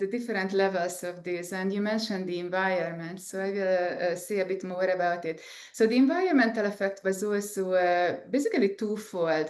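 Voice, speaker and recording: In an Eastern European accent, a woman speaks at medium pitch and a moderate pace with hardly any pauses. Room echo is audible. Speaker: scientist and entrepreneur. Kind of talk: interview. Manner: halting, many fillers.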